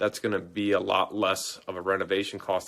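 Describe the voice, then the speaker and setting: Over a very clean recording with a silent background, a man talks at a fairly quick pace in a fairly low pitch with monotone, flat intonation. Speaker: real estate investing educator. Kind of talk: live stream Q&A. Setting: live video stream. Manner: fast.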